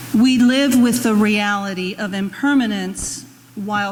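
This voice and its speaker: A woman talks at a very slow pace in a medium pitch. There is noticeable background noise behind her. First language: Spanish. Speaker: intern minister. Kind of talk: sermon.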